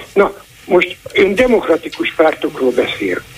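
A man talks fairly slowly, and noticeable background noise can be heard. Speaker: caller. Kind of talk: call-in opinion. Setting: phone call.

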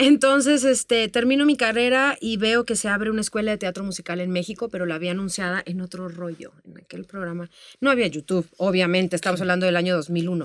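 A woman's very fast, medium-pitched speech with hardly any pauses, ordinary pitch variation and big swings in loudness. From Tamaulipas, northern Mexico. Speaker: music industry manager and teacher. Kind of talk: interview.

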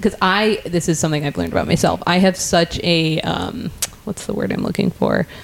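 Fairly quick talk from a woman, with noticeable background noise around it. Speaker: entrepreneur. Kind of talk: casual chat.

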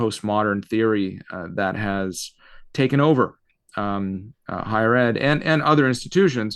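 Over a quiet background, a man with a plain, everyday voice speaks at a moderate pace in a fairly low pitch. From Canada (born in Soviet Union). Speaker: constitutional lawyer. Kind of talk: interview.

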